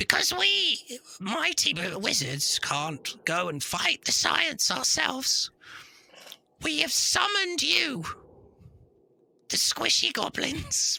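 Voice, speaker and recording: Pitched in the middle, a put-on character voice drawls along at a very slow pace. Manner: pompous, grandiose.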